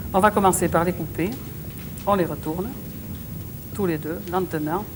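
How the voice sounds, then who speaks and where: With a southwestern French accent, a woman speaks at a fairly low pitch with ordinary pitch variation over noticeable background noise. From southwest France. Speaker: TV cook. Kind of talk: cooking show demonstration. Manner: frank, good-humoured.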